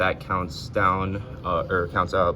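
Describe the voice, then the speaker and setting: Fairly low in pitch, a man speaks at a very slow pace with fairly even intonation. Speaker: engineering student. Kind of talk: lab demo tutorial. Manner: hesitant, many fillers.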